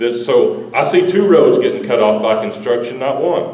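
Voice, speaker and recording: A man with a Texas accent speaks at a moderate pace amid noticeable background noise and audible room echo. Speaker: local resident. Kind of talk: public meeting comment. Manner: loud.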